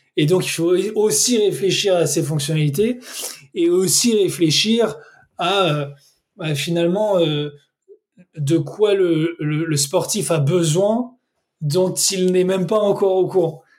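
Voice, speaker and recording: Very slowly, a man speaks in a high pitch with ordinary pitch variation. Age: 30s. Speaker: sportswatch brand country manager. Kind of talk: interview.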